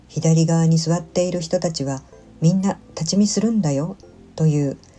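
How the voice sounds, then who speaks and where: Over music in the background, a woman with a fairly low, gentle voice speaks at a fairly slow pace with ordinary pitch variation. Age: 60s. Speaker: solo senior vlogger. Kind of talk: vlog voice-over narration. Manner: polite, gentle.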